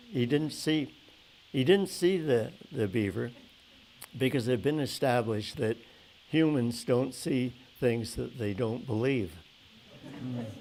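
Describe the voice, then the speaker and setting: Over background music, a man speaks at a very slow pace with a medium pitch and ordinary pitch variation. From Canada, Calgary. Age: 80s+. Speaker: oral history interviewee. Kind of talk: storytelling in an interview. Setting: museum event with audience. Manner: halting, many fillers and restarts.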